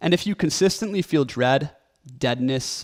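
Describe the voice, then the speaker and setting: A shaky male voice at a moderate pace, dry and close with no echo, on a very clean recording with a silent background. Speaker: content creator and author. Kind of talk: motivational talk to camera. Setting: recording video alone. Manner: shaky voice.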